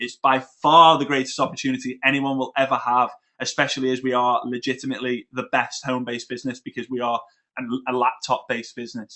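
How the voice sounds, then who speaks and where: A man with a British accent speaks at a very fast pace. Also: medium pitch for a man. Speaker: network marketing trainer. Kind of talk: webinar presentation. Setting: online webinar. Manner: animated.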